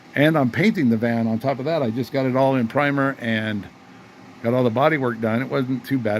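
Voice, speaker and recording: The speaker is a man at medium pitch. He keeps a moderate pace. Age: 60s. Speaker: retired car restoration hobbyist. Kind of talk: casual workshop vlog. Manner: animated.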